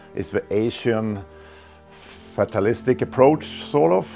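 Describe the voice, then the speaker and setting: A man speaks with a fairly low pitch. Music plays in the background. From Sweden. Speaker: martial arts grandmaster. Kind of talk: interview answer, reminiscing. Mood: warm, reminiscing. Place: home room. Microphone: lapel.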